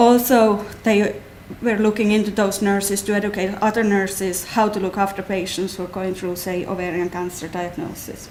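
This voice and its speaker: Speaking at a moderate pace with a slight Finnish accent, a woman keeps a monotone, flat intonation. Audible room echo and noticeable background noise are present. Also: medium pitch for a woman. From Finland. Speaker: clinical nurse specialist. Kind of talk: talk to patient audience.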